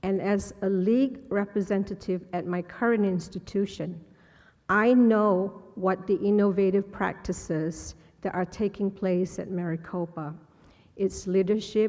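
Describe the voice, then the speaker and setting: At a fairly slow pace and with fairly even intonation, a woman speaks in a dark, mellow tone against a quiet background. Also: medium pitch for a woman. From Malaysia. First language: Malay. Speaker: college president candidate. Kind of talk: public forum speech. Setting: podium at public forum, live streamed.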